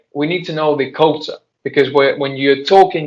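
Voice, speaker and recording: This man speaks with a Spanish accent at a fairly high pitch. His intonation is flat and monotone. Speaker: translator and interpreter. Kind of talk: Q&A discussion with students. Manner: halting.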